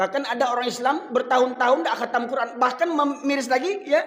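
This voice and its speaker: Audible room echo surrounds a man speaking at an extremely high pitch. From Medan, North Sumatra, Indonesia. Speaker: Islamic preacher. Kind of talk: sermon. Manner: conversational, addressing audience.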